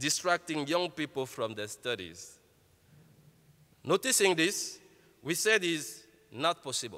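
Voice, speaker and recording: A man with an Ivorian accent talks at a fairly slow pace in a bright, sharp tone. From Côte d'Ivoire. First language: French. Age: 30s. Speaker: entrepreneur. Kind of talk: keynote speech.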